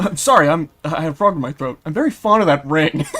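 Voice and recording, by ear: At a very fast pace, a croaky, raspy put-on character voice speaks at a middle pitch.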